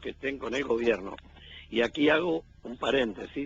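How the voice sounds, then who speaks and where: The speaker is a man. Vocal fry runs through his voice. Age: 70s. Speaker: weekly radio columnist. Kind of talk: radio commentary interview.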